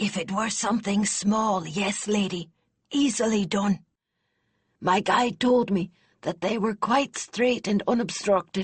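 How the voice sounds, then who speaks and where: A put-on character voice, female-sounding and raspy, at medium pitch and a fairly slow pace. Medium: read story. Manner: deferential, addresses her as lady.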